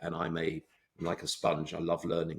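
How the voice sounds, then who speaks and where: A man speaks at a very fast pace in an English accent. His pitch is very deep and low. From England. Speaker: surgeon and medical tech founder. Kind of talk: interview.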